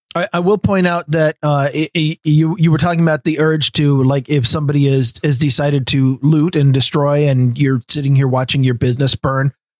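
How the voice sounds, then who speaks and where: In an ordinary speaking voice with an American accent, a man talks at a fairly quick pace with hardly any pauses, fairly even intonation and a fairly high pitch. The sound is dry and close, with no echo. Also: very even loudness. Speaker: podcast host. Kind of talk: casual chat.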